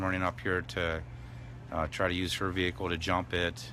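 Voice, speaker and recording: The man's pitch is very deep and low. His words come at a fairly quick pace. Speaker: tow truck driver at protest camp. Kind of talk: live stream chat. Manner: mumbling, hesitant.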